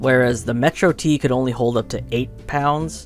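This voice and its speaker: Over music in the background, a man talks at a moderate pace with a medium pitch and lively intonation. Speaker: motorcycle vlogger. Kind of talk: voice-over narration recorded during editing. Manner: hesitant, with fillers.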